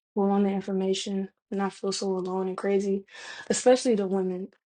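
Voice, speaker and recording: The background is quiet. A woman speaks in a Southern US accent with a dark, mellow tone. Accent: Southern US, lazy pronunciation. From US South. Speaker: vlogger. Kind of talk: casual monologue. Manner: casual, slangy.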